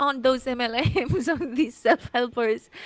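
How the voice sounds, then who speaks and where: A woman's high-pitched voice with a non-native accent and ordinary pitch variation. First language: not English. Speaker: youtuber commentary host. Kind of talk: casual chat.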